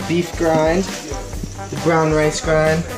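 A man is speaking. Music plays clearly behind him. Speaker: fitness vlogger. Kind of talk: casual vlog chat. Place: kitchen. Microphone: phone near.

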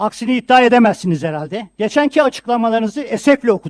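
A man with a high pitch talks at a very fast pace with lively intonation, in a dry, close sound with no echo. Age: 70s. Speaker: city council member. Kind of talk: council meeting speech. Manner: formal.

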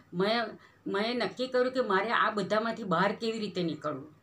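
A woman speaks in a bright, sharp tone at a fairly high pitch. Her pitch varies in an ordinary way. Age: 70s. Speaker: retired teacher. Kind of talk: testimony. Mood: earnest, calm. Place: home room. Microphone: phone near.

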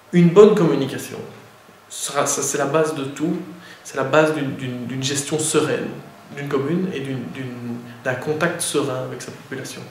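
This man's fairly high voice keeps a fairly even intonation, with long, frequent pauses, big swings in loudness, audible room echo and noticeable background noise. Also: moderate pace. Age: 30s. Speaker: mayor. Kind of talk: interview. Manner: halting, many fillers and repetitions.

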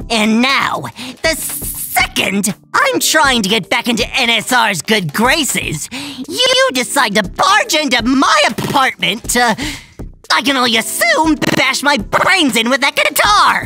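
In a put-on character voice, a man talks at a fairly slow pace, raised and projected, at an extremely high pitch. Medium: audio drama. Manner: exasperated, ranting.

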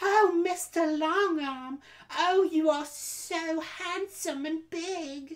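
A put-on character voice, female-sounding and squeaky, sits at an extremely high pitch for a woman. She speaks at a very slow pace. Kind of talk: casual vlog chat, mock-dramatic reading voice. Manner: exaggerated, fake, flirtatious. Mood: playful, joking.

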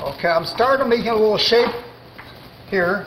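Fairly quick pace over light background noise. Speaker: chef instructor. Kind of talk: cooking demonstration tutorial. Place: kitchen.

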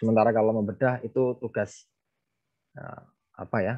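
A moderate pace over a quiet background. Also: man. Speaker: literature lecturer. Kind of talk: book discussion talk. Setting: video call. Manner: formal. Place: home room. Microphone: earbuds.

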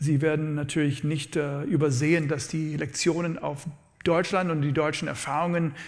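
A man speaks at a moderate pace with a fairly high, somewhat breathy voice. His intonation is fairly even, and the background is quiet. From USA (born in New Orleans). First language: English (speaking German). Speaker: economics professor; professor giving a public lecture. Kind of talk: lecture. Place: hall. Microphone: lapel.

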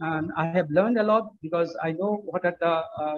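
A man speaks at a moderate pace. His pitch variation is ordinary. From Bangladesh. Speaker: finance professor. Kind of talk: closing speech. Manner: halting. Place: office. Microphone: video call.

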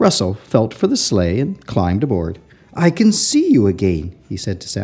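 Reading aloud in an easy, unforced way

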